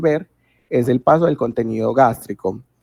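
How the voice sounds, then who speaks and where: On a dry, close sound with no echo, a man of medium pitch speaks at a moderate pace with a dark, mellow tone and ordinary pitch variation. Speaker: medical student tutor. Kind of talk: lecture.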